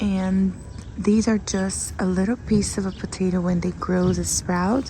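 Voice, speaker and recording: At a very slow pace, a woman with a Brazilian Portuguese accent speaks in a medium-pitched, flat monotone. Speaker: lifestyle vlogger. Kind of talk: casual garden tour vlog; inspirational talk.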